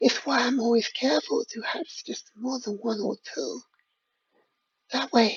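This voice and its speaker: A breathy, fairly high put-on character voice at a moderate pace, broken by long, frequent pauses. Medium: read story. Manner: coy, doting.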